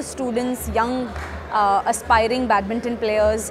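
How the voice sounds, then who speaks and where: A woman speaks at a high pitch and a fairly slow pace. Noticeable background noise runs behind her. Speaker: head coach. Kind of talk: interview statement. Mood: grateful, formal. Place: hall.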